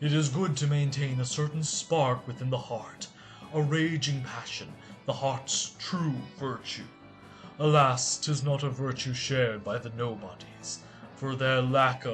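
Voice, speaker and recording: Against clear background music, a man uses a put-on character voice at medium pitch and a moderate pace. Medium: read story. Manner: measured, lofty, archaic.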